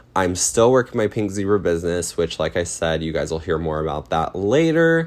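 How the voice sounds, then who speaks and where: A man with an American accent and a very deep, low pitch. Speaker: podcast host and cosmetologist. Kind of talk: casual monologue.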